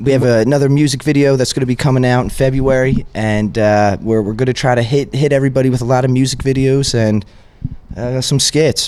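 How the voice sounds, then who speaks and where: A man's normal speaking voice with an American accent, medium in pitch, fairly quick, at very even loudness and with fairly even intonation. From Pennsylvania, West Chester area. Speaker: rapper. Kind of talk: casual interview chat.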